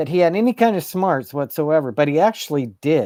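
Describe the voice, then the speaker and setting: Speech comes at a fairly slow pace in a very clean recording with a silent background. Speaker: live-stream vlogger. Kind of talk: casual live-stream monologue. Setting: at home in apartment. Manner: deliberately toned down, not loud; animated.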